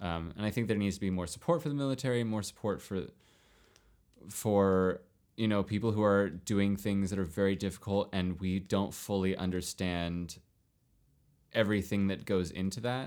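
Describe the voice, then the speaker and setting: A man with an ordinary speaking voice and a fairly low pitch talks at a moderate pace with ordinary pitch variation. The recording is very clean, with a silent background. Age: 30s. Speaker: actor and dancer, podcast guest. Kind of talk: casual chat.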